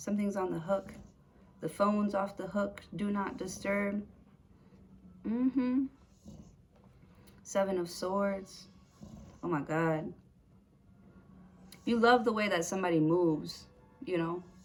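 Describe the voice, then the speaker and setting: Speaking fairly slowly with long, frequent pauses, a woman has a somewhat breathy, medium-pitched voice and ordinary pitch variation. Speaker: tarot reader. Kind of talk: tarot reading to camera. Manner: stuttering today; casual, hesitant with fillers.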